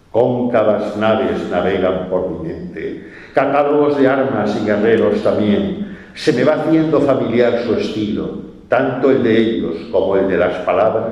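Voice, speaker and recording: Through noticeable background noise and audible room echo, a man speaks at a fairly slow pace and medium pitch with lively intonation. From Spain, Valencia. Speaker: poet. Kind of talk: poetry reading.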